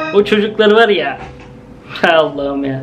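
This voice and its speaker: A man is talking, and clear music can be heard behind him. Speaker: reaction video creator. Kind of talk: casual reaction commentary. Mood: amused, laughing. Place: home room. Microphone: headset.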